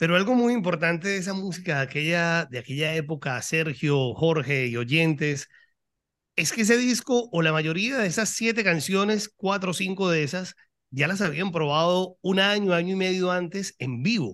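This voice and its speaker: A man talks at a moderate pace with a high pitch and lively intonation. The background is quiet. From Colombia. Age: 40s. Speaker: rock podcaster. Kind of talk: casual chat.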